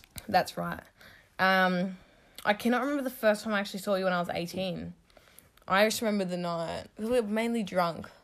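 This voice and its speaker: A woman with an Australian accent speaks at a fairly quick pace, pausing long and often. Her pitch is medium with ordinary variation, on a very clean recording with a silent background. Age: 20s. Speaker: podcast host, hairdresser. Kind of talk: casual chat.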